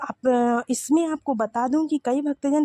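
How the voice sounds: A dark, mellow tone with fairly even intonation and a dry, close sound without echo. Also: woman.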